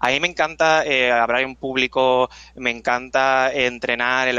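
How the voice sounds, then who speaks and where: A man's flat, monotone voice at a medium pitch, with a Puerto Rican accent, at a fairly slow pace. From Puerto Rico. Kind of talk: casual interview.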